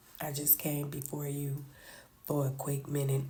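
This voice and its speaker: A woman speaks slowly in a very deep, low pitch, her tone dark and mellow and somewhat breathy. Audible room echo surrounds her voice. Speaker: reality TV commentator. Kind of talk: casual chat.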